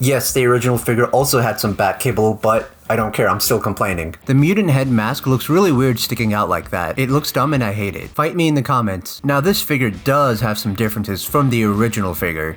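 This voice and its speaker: A medium-pitched man talks at a fairly quick pace with lively intonation and hardly any pauses, over noticeable background noise. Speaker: toy reviewer. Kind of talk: product review.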